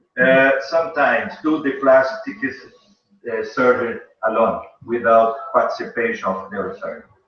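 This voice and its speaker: A man at a moderate pace, with audible room echo. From Brazil. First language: Portuguese. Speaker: pediatric neurosurgeon. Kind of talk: conference lecture and Q&A. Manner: halting.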